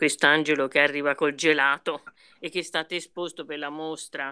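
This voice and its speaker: Flat and monotone, a woman speaks at a moderate pace with a very deep, low pitch and a bright, sharp tone. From Tuscany, southern Italian parents. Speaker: retired teacher and writer. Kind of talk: casual chat. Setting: video call.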